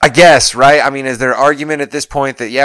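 A man talks at a very fast pace. The recording is very clean, with a silent background. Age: 40s. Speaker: wrestling podcast co-host. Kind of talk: casual chat.

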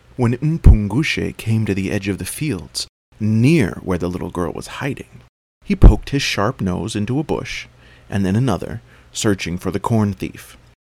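A man talks at a moderate pace in a fairly low voice with vocal fry. His intonation is lively and his tone dramatic and animated. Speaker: storyteller dad. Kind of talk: storytelling. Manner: animated, expressive narration; dramatic, paced storyteller.

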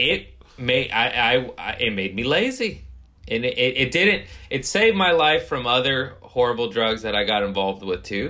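A man has a plain, everyday voice at medium pitch. He speaks at a moderate pace with lively intonation. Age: 30s. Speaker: comedian. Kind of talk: casual chat.

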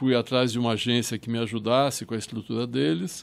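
A man's normal speaking voice, medium-pitched, with ordinary pitch variation. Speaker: filmmaker and Holocaust historian. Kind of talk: interview.

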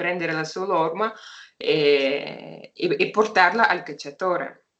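With a Russian accent, a woman speaks at a very slow pace. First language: Russian (speaking Italian). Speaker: hunting dog breeder and trainer. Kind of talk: interview. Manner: halting.

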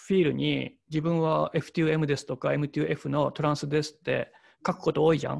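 A man with an unremarkable speaking voice and a fairly high pitch speaks at a moderate pace over a quiet background. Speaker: painter. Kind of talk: casual chat.

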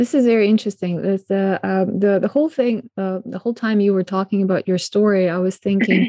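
A woman with a non-native accent, medium in pitch and dark, mellow in tone, at a fairly quick pace with ordinary pitch variation and a dry, close sound with no echo. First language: not English. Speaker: podcast host. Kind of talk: interview. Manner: halting.

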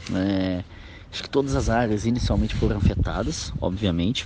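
With a fairly low pitch and ordinary pitch variation, a man speaks. He leaves long, frequent pauses. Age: 40s. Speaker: film director. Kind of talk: interview. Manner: halting, many filler words.

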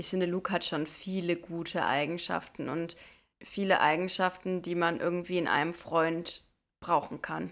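A woman's fairly low voice in a monotone, flat delivery at a moderate pace, on a very clean recording with a silent background. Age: 20s. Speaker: podcast co-host. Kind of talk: casual chat.

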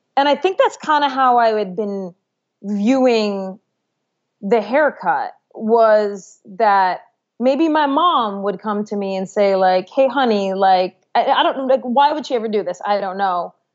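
Speaking at a fairly slow pace, a woman uses a plain, everyday voice with a fairly high pitch and lively intonation. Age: 30s. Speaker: sports reporter and author. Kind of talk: interview.

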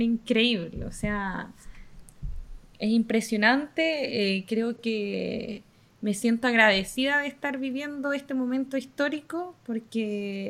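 A woman speaks very slowly with a Chilean accent. Her pitch varies an ordinary amount. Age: 20s. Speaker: university staff worker. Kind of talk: casual chat. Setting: video call.

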